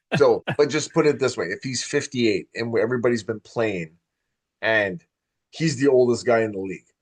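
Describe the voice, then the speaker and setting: An unremarkable speaking voice: a man of medium pitch with ordinary pitch variation, at a moderate pace. The sound is dry and close with no echo, against a quiet background. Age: 40s. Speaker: podcast host. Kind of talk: casual chat.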